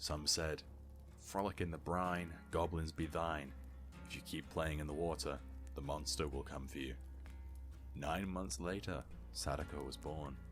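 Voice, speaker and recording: A man's very deep, low voice at a fairly slow pace, fairly even in intonation, with long, frequent pauses and music in the background. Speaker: voice actor. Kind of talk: video game lore narration.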